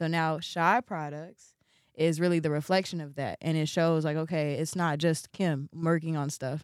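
With an American accent, a woman speaks at a moderate pace in a very deep, low pitch with fairly even intonation. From Chicago, US Midwest. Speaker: fashion designer and artist. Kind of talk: interview.

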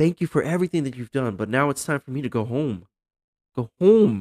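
Very wide pitch swings at a moderate pace, with an American accent. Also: man, dry, close sound with no echo. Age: 30s. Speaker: podcast host. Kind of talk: casual chat.

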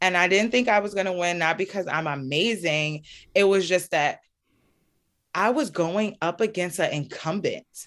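A woman with a New York accent, medium pitch and ordinary pitch variation, speaking at a moderate pace against a quiet background. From US, Brooklyn, New York. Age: 30s. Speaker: local elected official. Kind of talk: interview.

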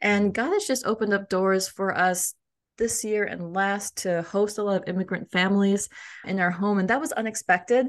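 A woman with an American accent and an ordinary speaking voice at a moderate pace with fairly even intonation, over a quiet background. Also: medium pitch for a woman. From US. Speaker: cultural intelligence coach and author. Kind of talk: interview conversation. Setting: podcast interview.

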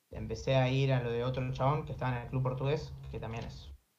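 A man at a fairly quick pace with audible room echo. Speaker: streamer and taekwondo competitor. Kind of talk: casual chat.

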